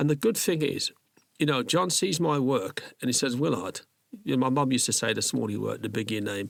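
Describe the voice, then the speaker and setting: Talking very fast, a man at a medium pitch uses lively intonation, with vocal fry in his voice. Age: 60s. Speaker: microsculptor artist. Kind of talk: casual chat. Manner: animated.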